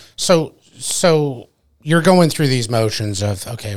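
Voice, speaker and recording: This is a very clean recording with a silent background. A man's fairly slow speech shows ordinary pitch variation. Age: 40s. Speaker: podcast host. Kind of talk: casual chat. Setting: studio.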